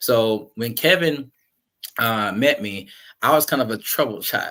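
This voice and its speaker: Speaking in an ordinary speaking voice with an American accent, a man talks fairly slowly at a medium pitch with lively intonation, in a very clean recording with a silent background. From US South (Jacksonville, Florida). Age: 30s. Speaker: guest speaker on mental health. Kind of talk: personal testimony. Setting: podcast.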